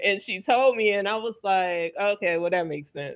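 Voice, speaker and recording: Speaking at a moderate pace with an American accent, a woman uses a medium pitch and ordinary pitch variation. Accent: Southern accent, largely trained away. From Louisiana, US South. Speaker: wellness show host. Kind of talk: panel discussion.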